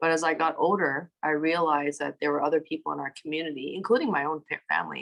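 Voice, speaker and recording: A woman with a Canadian accent talks at a fairly quick pace. Her pitch is very deep and low, and she has vocal fry. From Toronto, Canada. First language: Cantonese. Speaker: city councillor. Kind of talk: interview.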